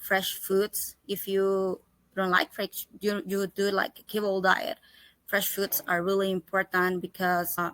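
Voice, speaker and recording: A woman speaks very slowly in a Spanish accent, her medium-pitched voice keeping a fairly even intonation. The sound is dry and close, with no echo. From El Salvador. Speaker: holistic pet health coach. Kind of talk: interview. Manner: halting, with self-corrections.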